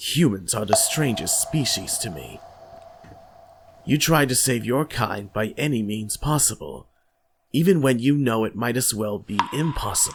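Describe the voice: A man puts on a raspy character voice at a medium pitch, speaking at a moderate pace.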